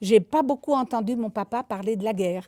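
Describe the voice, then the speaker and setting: A woman's dark, mellow tone in a very clean recording, silent background, with a dry, close sound and no echo. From France, Isère (Voiron / Bilieu area). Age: 80s+. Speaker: elderly witness sharing childhood memories. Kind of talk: storytelling to schoolchildren. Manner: lively.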